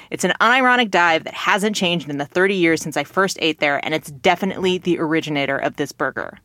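A woman with a Californian accent, fairly low in pitch, at a very fast pace with ordinary pitch variation and hardly any pauses. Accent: California American. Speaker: podcast co-host. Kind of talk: casual chat, comedy podcast.

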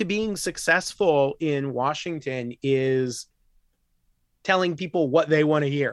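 Lively in intonation, a man with an American accent speaks at a fairly high pitch. His pace is very slow, with long, frequent pauses. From US Midwest, rural Illinois. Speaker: professor and nuclear arms control expert. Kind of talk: casual interview.

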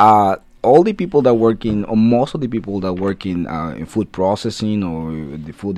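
With a Spanish accent, a man speaks at a moderate pace in a very deep, low voice with ordinary pitch variation. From Guatemala. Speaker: food science professor. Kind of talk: radio interview. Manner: halting.

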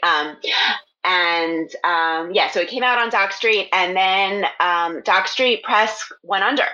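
This woman has an American accent and medium pitch. She speaks very slowly, with ordinary pitch variation. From US, Philadelphia area. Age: 40s. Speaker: fiction writer. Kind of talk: casual interview.

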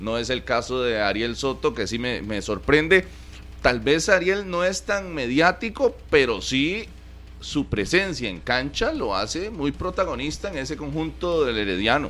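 A man talks at a fairly slow pace with a fairly high pitch. His voice has vocal fry and very wide pitch swings. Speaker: sports radio co-host. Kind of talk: sports talk radio.

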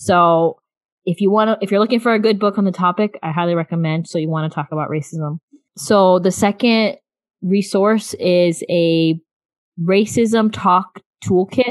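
A woman with an American accent speaks in a plain, everyday voice at a moderate pace. Her pitch is medium, with ordinary variation. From US South, South Florida. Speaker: podcast host, mother. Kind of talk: casual chat.

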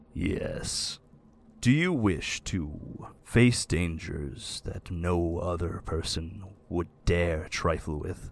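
A put-on character voice moves at a very slow pace on a very clean recording with a silent background. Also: man, very deep, low pitch for a man. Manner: formal, calm.

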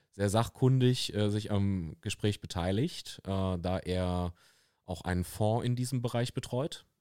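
Recorded very cleanly against a silent background with a dry, close sound and no echo, a man with an unremarkable speaking voice talks at a fairly slow pace and a fairly low pitch, with ordinary pitch variation. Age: 30s. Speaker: fitness studio owner and podcast host. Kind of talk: casual chat. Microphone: very close to the microphone.

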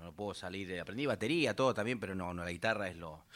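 A man talking at a very fast pace. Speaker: folk musician, bailanta group member. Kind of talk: casual chat on live radio.

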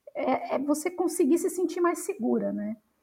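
A woman speaks at a fairly slow pace. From Brazil, São Paulo city. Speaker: researcher. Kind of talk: interview conversation.

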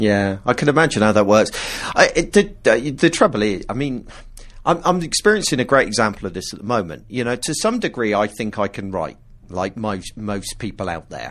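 At a fairly quick pace, a man with a fairly low pitch and an ordinary speaking voice talks with lively intonation. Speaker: podcast host. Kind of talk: casual chat.

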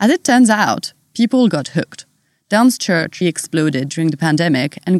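The speaker has a French accent and lively intonation. The pace is moderate. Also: woman. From France. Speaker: podcast host. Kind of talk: interview conversation.

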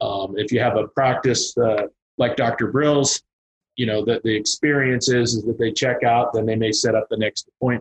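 With an American accent, a man speaks at medium pitch and a moderate pace, somewhat breathy, in a monotone, flat delivery of very even loudness, with a dry, close sound with no echo. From Kansas. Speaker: payroll and merchant services consultant. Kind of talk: casual interview.

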